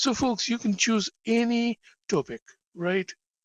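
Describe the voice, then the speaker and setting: Dry, close sound with no echo on a man talking at a moderate pace. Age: 70s. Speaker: teacher. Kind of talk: lecture.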